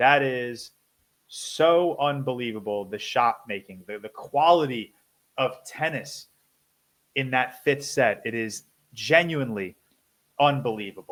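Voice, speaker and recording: A man's medium-pitched voice with ordinary pitch variation, big swings in loudness, and long, frequent pauses. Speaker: YouTuber and podcast co-host. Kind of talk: casual solo commentary video.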